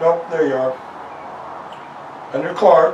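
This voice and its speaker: Light background noise and audible room echo are present. A man speaks at a fairly high pitch with ordinary pitch variation. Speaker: interviewer and biographer. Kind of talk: interview questions. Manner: casual, conversational. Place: home room.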